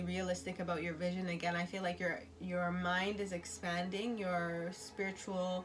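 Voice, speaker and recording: In a room with audible echo, a woman speaks at a fairly low pitch and a moderate pace, somewhat breathy, with very even loudness and monotone, flat intonation. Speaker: tarot and oracle card reader. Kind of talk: intuitive oracle reading. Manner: halting with many fillers.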